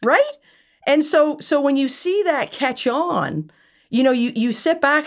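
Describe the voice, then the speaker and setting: A woman with a Nova Scotia accent, very wide pitch swings, and a very clean recording over a silent background. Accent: Atlantic Canadian (Nova Scotia). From Nova Scotia, Yarmouth. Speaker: entrepreneur, company founder. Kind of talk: casual interview conversation.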